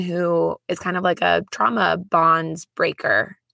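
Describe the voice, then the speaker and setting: A woman speaks with a bright, sharp tone. Her pitch sits fairly low. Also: dry, close sound with no echo. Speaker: podcast host. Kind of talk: personal testimony monologue. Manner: casual, conversational.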